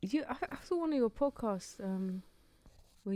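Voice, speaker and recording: With a dark, mellow tone and lively intonation, a woman at medium pitch speaks at a moderate pace. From Morocco. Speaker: podcast host. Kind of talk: podcast interview.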